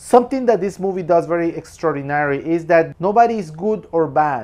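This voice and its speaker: Against a quiet background, a man with a Spanish accent talks at a fairly quick pace with a high pitch and lively intonation. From Peru. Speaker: film commentator. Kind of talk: film review monologue. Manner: casual, with repetitions and restarts.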